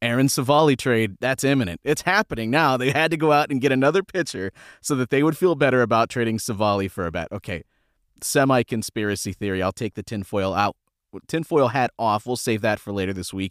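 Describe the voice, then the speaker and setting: A man with an unremarkable speaking voice talks at a fairly quick pace and medium pitch, with lively intonation. The recording is very clean, dry and close, with no echo and a silent background. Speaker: podcast host. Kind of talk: casual sports podcast chat.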